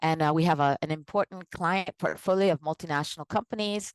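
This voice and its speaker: With an American accent and an ordinary speaking voice, the speaker goes at a fairly quick pace with ordinary pitch variation, in a dry, close sound with no echo and a quiet background. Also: woman. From United States. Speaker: organizational psychologist and consultant. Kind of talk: live online presentation.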